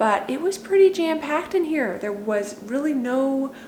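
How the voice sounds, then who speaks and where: A woman speaks at a fairly slow pace with lively intonation. The recording has audible room echo and noticeable background noise. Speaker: home declutter vlogger. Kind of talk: casual vlog talk to camera.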